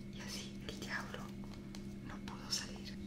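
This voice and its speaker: A woman is whispering, soft-spoken throughout. Loud background noise surrounds her. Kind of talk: tutorial with storytelling. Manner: soft ASMR whisper while telling a story. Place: home room. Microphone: phone near.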